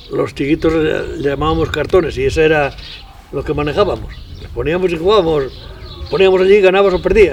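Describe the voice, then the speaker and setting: A man speaks fairly quickly while noticeable background noise fills the recording. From Spain, Castile and León (Tierra de Campos). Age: 90s. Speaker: elderly rural villager. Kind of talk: interview reminiscence. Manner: halting.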